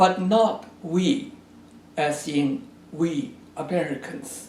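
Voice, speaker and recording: A man with a Chinese accent talks at a very slow pace in a high pitch with very wide pitch swings, amid audible room echo and noticeable background noise. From China. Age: 80s+. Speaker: geography professor. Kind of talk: recorded address to an event. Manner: formal.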